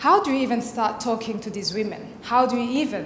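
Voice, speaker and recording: A woman talks with fairly even intonation. Room echo is audible, and background noise is noticeable. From Burundi. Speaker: fellowship speaker. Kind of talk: presentation speech.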